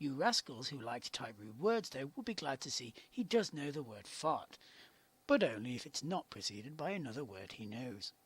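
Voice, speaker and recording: This man's voice is fairly high-pitched and somewhat breathy, with very wide pitch swings at a moderate pace. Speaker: game reviewer. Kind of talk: video game review narration.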